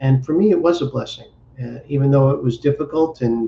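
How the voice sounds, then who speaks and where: This man's medium-pitched voice is dark, mellow and somewhat breathy, moving at a fairly quick pace. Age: 60s. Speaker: entrepreneur and business coach. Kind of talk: interview. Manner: halting, repeats words.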